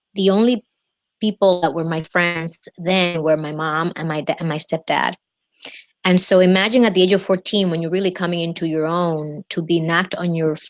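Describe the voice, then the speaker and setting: At a moderate pace, a woman with a Spanish accent speaks in a fairly low voice with fairly even intonation and a dry, close sound with no echo. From Dominican Republic. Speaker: executive coach. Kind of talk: interview. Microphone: unstable internet connection.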